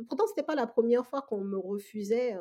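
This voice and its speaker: This woman speaks very fast with lively intonation. Her fairly high voice has a dark, mellow tone. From Togo, West Africa. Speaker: real estate investor. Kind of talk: interview.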